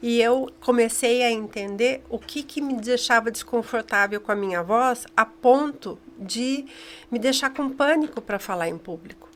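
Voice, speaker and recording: At a fairly slow pace, a woman speaks high in pitch with ordinary pitch variation over noticeable background noise. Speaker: communication trainer. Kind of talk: interview.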